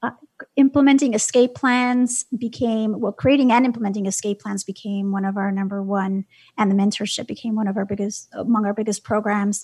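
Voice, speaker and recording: Speaking at a fairly quick pace with an American accent, a woman has a fairly high, somewhat breathy voice and fairly even intonation. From New York City, Brooklyn. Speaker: nonprofit founder and advocate. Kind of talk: interview.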